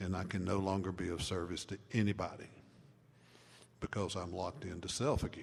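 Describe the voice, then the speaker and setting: A man talks at a fairly quick pace in a very deep, low pitch, somewhat breathy. Long pauses come often. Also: fairly even intonation. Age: 70s. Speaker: recovery mentor and speaker. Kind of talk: talk to a live audience.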